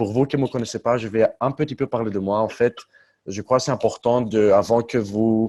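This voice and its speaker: In a dry, close sound with no echo, a man with a non-native accent and a dark, mellow tone speaks at medium pitch and moderate pace with fairly even intonation. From Luxembourg, Greek family. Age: 20s. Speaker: network marketing leader. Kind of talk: conference call presentation. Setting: conference call. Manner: halting, some hesitations.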